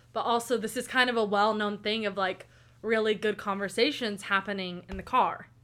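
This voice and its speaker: A woman talks at a moderate pace with an Oklahoma accent. Her fairly high voice has a bright, sharp tone. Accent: Oklahoma American English. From US South. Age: 20s. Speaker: college student. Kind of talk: casual chat. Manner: animated.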